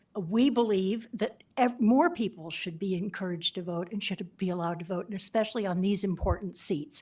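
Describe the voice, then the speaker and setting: On a very clean recording with a silent background, a woman with a medium-pitched voice talks at a fairly quick pace. She uses ordinary pitch variation and hardly any pauses. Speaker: public commenter. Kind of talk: public comment at council meeting. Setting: county board meeting. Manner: impromptu.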